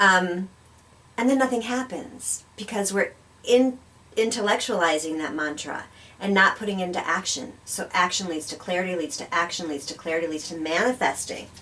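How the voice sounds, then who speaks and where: The voice has lively intonation and big swings in loudness. Noticeable background noise runs underneath. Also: woman, medium pitch for a woman, moderate pace. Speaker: spiritual talk show co-host. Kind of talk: conversational talk show discussion.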